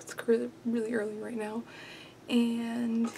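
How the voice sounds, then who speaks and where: A soft-spoken woman, fairly high in pitch and fairly slow in pace, over noticeable background noise. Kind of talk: casual talk to camera. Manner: soft-spoken, quiet.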